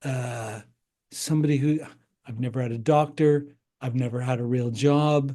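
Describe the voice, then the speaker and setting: Here a man talks at a medium pitch in a dark, mellow tone. His pace is moderate, his intonation fairly even, and his pauses long and frequent. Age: 60s. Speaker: breathwork healer and entrepreneur. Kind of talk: interview conversation. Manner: halting.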